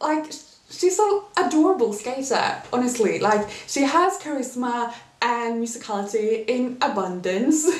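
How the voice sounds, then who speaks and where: This woman talks at a moderate pace. Noticeable background noise runs under her voice. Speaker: figure skating commentator. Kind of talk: casual talk to camera.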